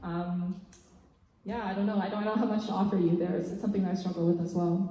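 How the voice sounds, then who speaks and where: A woman speaks at medium pitch and a fairly quick pace, with long, frequent pauses and monotone, flat intonation. Noticeable background noise and audible room echo are present. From Canada, Mississauga. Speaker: spoken word poet. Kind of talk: Q&A after a performance. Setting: church with live audience. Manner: soft-spoken.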